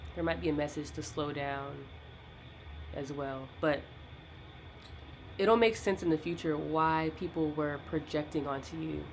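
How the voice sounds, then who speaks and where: Very deep, low-pitched woman, fairly slow and with long, frequent pauses, her pitch varying in an ordinary way. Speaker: tarot reader. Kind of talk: tarot reading monologue. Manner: casual, halting with fillers.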